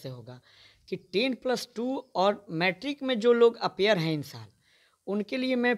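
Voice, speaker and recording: A man's voice swings very widely in pitch at a moderate pace, recorded very cleanly with a silent background and a dry, close sound with no echo. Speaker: local politician. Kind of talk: political statement interview.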